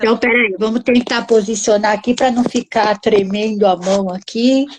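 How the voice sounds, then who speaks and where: A woman with an unremarkable speaking voice talks at a moderate pace and a fairly high pitch. Her intonation stays fairly even and her loudness very even. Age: 60s. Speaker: housing researcher and author. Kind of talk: live-stream interview.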